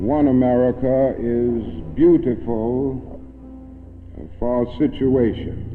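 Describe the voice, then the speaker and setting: A man is speaking. Music plays in the background. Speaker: civil rights leader giving a public speech. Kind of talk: oratory, university lecture speech.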